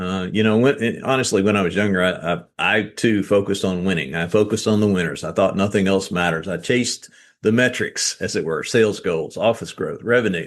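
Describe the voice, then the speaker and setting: With a Southern US accent, a man talks fairly quickly at a fairly low pitch, with ordinary pitch variation, hardly any pauses, and a quiet background. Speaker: author and real estate business owner. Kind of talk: podcast interview.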